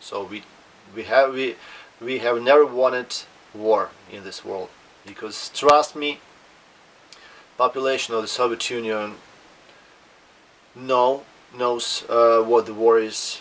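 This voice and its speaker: With a Russian accent, a man speaks at a fairly slow pace and medium pitch, his intonation fairly even, his loudness swinging widely, long pauses coming often, and background noise clearly audible. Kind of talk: casual talk to camera. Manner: hesitant, with fillers.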